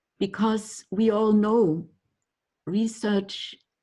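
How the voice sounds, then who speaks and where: Speaking very slowly in a German accent, a woman has a medium pitch and a dark, mellow tone. Her voice is somewhat breathy. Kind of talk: lecture. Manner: halting.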